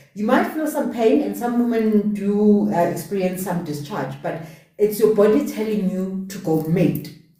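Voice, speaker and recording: There is noticeable background noise and audible room echo as a woman with a medium pitch talks at a moderate pace with lively intonation. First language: not English. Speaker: podcast host. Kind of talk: casual chat. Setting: live stream.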